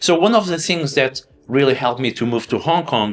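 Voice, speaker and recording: Speaking fairly quickly in a Portuguese accent, a man with a medium-pitched voice uses lively intonation. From Portugal, Lisbon. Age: 30s. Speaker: finance educator. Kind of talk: interview conversation.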